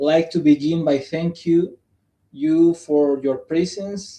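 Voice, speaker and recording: A man speaks with a non-native accent at a fairly high pitch. His intonation stays fairly even. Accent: non-native English pronunciation. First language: Spanish. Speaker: psychologist presenting at academic symposium. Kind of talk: conference presentation. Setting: live stream. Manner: halting.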